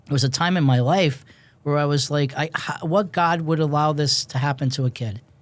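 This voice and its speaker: A man's unremarkable speaking voice, fairly high in pitch, fairly quick and fairly even in intonation. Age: 60s. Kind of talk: interview conversation.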